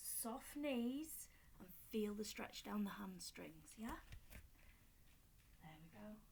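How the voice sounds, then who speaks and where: Very slow, somewhat breathy speech in a Yorkshire accent, with audible room echo. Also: woman. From Yorkshire, northern England. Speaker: fitness instructor. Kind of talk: exercise tutorial. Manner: casual, chatty.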